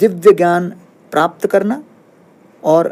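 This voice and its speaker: This man's voice sits high in pitch, with ordinary pitch variation. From Bhilai, central India. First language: Tamil and Malayalam (speaking Hindi). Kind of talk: interview. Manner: calm, explanatory.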